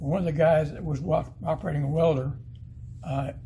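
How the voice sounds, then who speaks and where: A man with an Arkansas accent, fairly high in pitch, dark and mellow in tone with vocal fry, ordinary pitch variation and a fairly quick pace, amid audible room echo. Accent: US Southern (Arkansas). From northeast Arkansas. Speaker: retired missile specialist, museum docent. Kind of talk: museum guided talk. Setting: museum exhibit. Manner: animated.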